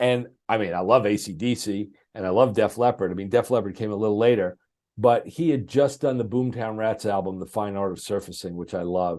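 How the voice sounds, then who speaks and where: Over a quiet background, a man with a New York accent talks at a fairly quick pace in a fairly low, dark, mellow voice with ordinary pitch variation. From US Northeast, Long Island. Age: 60s. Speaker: television producer. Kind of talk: interview storytelling.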